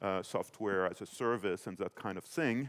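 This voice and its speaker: A man with a French accent, fairly low in pitch, in a dry, close recording with no echo. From France. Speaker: financial policy expert, panelist. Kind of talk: panel discussion. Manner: hesitant, many fillers.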